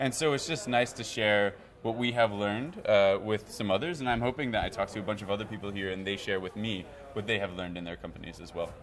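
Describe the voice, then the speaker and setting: A very fast man's voice with an American accent, fairly low in pitch, with ordinary pitch variation. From United States. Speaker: video journalist at a media lab. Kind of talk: interview at a media festival.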